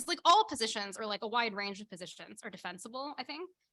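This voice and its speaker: The voice has a bright, sharp tone, lively intonation and a very fast pace. The sound is dry and close, with no echo. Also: woman. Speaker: critic and writer. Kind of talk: casual intellectual conversation. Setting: video call livestream.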